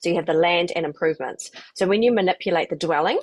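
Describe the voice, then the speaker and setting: At a very fast pace, a woman with a New Zealand accent speaks in a fairly low voice, the sound dry and close with no echo. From New Zealand, New Plymouth. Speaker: property investment coach. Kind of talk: webinar presentation.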